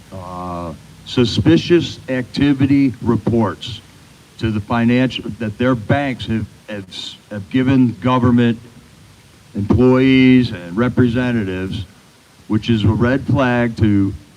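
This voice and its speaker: Noticeable background noise surrounds a man talking at a very slow pace. His loudness swings widely, and he takes long, frequent pauses. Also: medium pitch for a man, ordinary pitch variation. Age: 60s. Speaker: rally speaker. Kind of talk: public speech.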